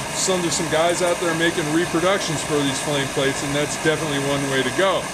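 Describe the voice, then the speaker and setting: A man with a fairly high-pitched voice is heard against noticeable background noise. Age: 60s. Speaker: stove collector and restorer. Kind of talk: tutorial. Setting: workshop. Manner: casual, halting.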